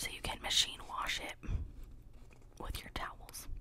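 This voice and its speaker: A soft-spoken woman whispers over light background noise. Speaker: haul vlogger. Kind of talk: casual haul chat, partly reading a label. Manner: close soft ASMR whisper. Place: home room. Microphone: studio mic.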